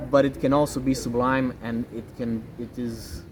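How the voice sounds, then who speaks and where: A man talks in a Romanian accent. His pace is fairly slow. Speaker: pianist and games programmer. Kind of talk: interview.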